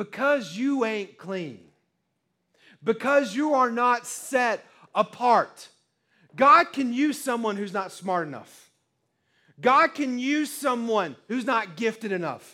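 In a raised, projected voice, a man speaks very slowly at an extremely high pitch, bright and sharp in tone, with lively intonation and long, frequent pauses, on a very clean recording with a silent background. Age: 30s. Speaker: preacher. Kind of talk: sermon. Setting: church. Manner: animated.

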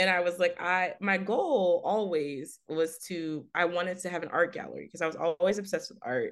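A woman speaks in an American accent at a moderate pace and medium pitch. Her pitch variation is ordinary, and she has a plain, everyday voice. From Texas, Fort Worth. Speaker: art writer and editor. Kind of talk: interview.

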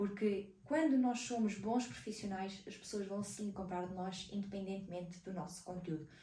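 A woman with a European Portuguese accent speaks at medium pitch and a moderate pace with ordinary pitch variation and hardly any pauses, amid audible room echo and noticeable background noise. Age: 20s. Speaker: digital marketing podcaster. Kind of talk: casual solo podcast talk.

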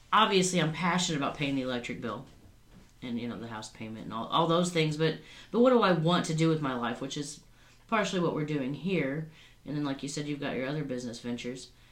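Talking at a very fast pace with lively intonation, a woman with a very deep, low voice is heard amid audible room echo. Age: 40s. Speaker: podcast co-host. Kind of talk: casual chat.

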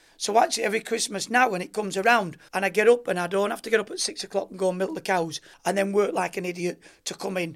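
Here a man talks very fast in a Lancashire accent. His pitch is high, with ordinary variation. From rural Lancashire, northern England. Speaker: former Olympic gymnast. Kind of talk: interview.

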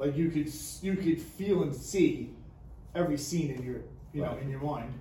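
With audible room echo and noticeable background noise, a man speaks at a fairly high pitch and moderate pace with ordinary pitch variation. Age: 40s. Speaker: podcast co-host. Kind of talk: casual chat.

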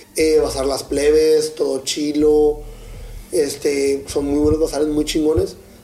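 A fairly high-voiced man talks at a fairly slow pace, with noticeable noise behind him. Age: 20s. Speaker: comedian. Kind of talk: casual chat. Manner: animated.

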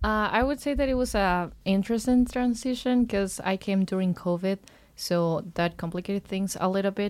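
A woman speaks with a Spanish accent at a moderate pace, her pitch medium with ordinary variation. The recording is very clean, with a silent background. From Ecuador. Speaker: college swimmer. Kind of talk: casual interview.

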